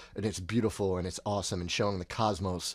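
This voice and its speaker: A man talks at a fairly quick pace with a fairly low pitch. The recording is very clean, with a silent background. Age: 30s. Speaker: podcast co-host. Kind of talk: casual chat. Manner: animated.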